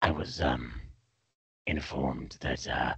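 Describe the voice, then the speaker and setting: A raspy, put-on character voice from a man. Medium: actual play. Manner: hesitant, halting.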